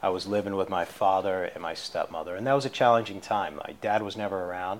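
A man's normal speaking voice with an American accent, fairly low in pitch, with fairly even intonation at a moderate pace. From Boston area, Massachusetts. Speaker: addiction recovery mentor. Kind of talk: interview testimony. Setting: studio, in person.

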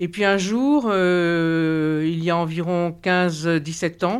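A woman with an ordinary speaking voice and a fairly low pitch speaks with fairly even intonation on a very clean recording with a silent background. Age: 60s. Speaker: patient. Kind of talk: testimony.

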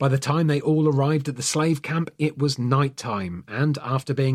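A man's somewhat breathy, fairly high voice in a dramatic tone at a moderate pace, on a very clean recording with a silent background. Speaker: podcast host. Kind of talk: scripted true crime narration; dramatic narration. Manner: dramatic, suspenseful storyteller with grave tone; measured, solemn pacing.

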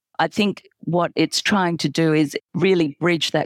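With an Australian accent, a woman speaks at a moderate pace in a monotone, flat intonation, the sound dry and close with no echo. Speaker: pediatric pain doctor and professor. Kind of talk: interview answers, expert explanation. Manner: measured, hesitant with fillers.

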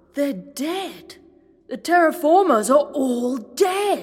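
A woman shouts in a put-on character voice, slow and pitched high, with big swings in pitch. Her tone is slightly mellow.

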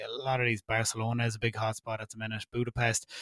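A man with an Irish accent talks at a fairly quick pace. His medium-pitched voice has a dry, close sound with no echo. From Ireland. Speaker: podcast host. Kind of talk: casual interview chat.

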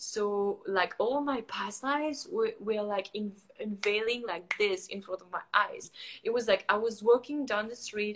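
In a French accent, a woman speaks at a moderate pace, her fairly high voice showing ordinary pitch variation. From France. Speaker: photographer and coach. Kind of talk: casual chat. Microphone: sounds far away, weak Wi-Fi.

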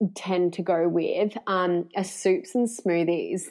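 A woman speaks with an Australian accent at a medium pitch. The background is quiet. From Australia, Victoria (Warrnambool). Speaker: naturopath and nutritionist. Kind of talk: casual interview.

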